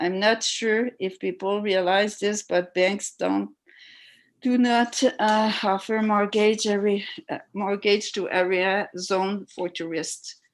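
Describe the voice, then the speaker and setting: Over a quiet background, a woman with a French accent speaks very slowly at a medium pitch in a monotone, flat way. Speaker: resident speaking at council public hearing. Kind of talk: public hearing testimony. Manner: halting, many hesitations.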